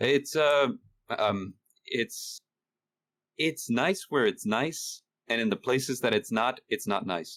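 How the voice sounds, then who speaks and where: Speaking very slowly with long, frequent pauses, a man with a slight Spanish accent uses lively intonation at a medium pitch, his loudness very even and the sound dry and close with no echo. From Honduras, moved to US at nine. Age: 30s. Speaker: horror story narrator and writer. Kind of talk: casual interview chat. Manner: hesitant, many fillers.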